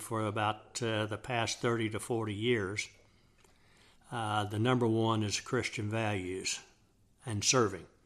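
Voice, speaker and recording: The recording is very clean, with a silent background. A man with a Texan accent talks at a fairly slow pace in a medium pitch, with monotone, flat intonation. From Texas, Dallas area. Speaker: father of the host, Vietnam veteran. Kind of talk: casual chat. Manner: halting.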